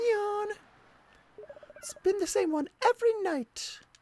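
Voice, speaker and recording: A squeaky, put-on character voice at an extremely high pitch moves along at a fairly slow pace. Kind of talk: reading game dialogue aloud during a let's play. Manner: sleepy, yawning.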